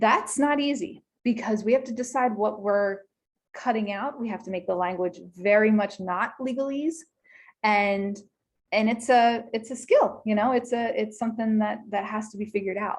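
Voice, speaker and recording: A woman speaks at a moderate pace in a fairly high pitch with ordinary pitch variation. Her voice is somewhat breathy. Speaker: small business attorney. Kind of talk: webinar presentation. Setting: video call.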